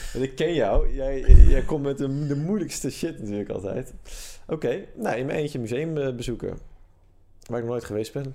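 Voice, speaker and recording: This man has a fairly high pitch and a dark, mellow tone. He speaks at a moderate pace. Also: ordinary pitch variation. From Netherlands, Amsterdam. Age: 20s. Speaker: podcast co-host. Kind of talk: casual chat.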